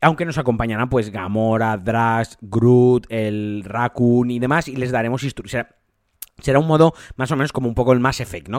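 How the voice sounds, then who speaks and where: With an ordinary speaking voice, a man talks at a fairly quick pace and medium pitch, with ordinary pitch variation and big swings in loudness. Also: dry, close sound with no echo, very clean recording, silent background. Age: 30s. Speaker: video game podcaster. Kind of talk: solo podcast commentary.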